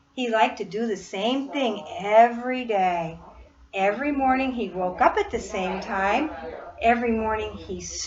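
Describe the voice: Ordinary pitch variation in plain reading aloud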